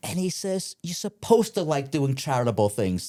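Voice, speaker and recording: Talking at a fairly quick pace in a New York accent, a man with a dark, mellow tone lets his pitch swing very widely. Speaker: family real estate investor and woodworker. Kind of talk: podcast interview. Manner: halting, with many fillers.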